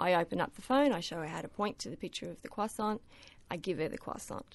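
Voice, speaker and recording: In an Australian accent, a woman speaks with lively intonation. The background is quiet. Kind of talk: radio interview.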